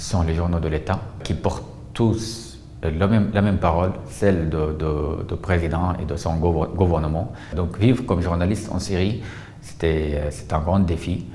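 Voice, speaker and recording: Speaking at a fairly slow pace, a man with a very deep, low pitch shows ordinary pitch variation over noticeable background noise. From Syria. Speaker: journalist. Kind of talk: testimony interview answer.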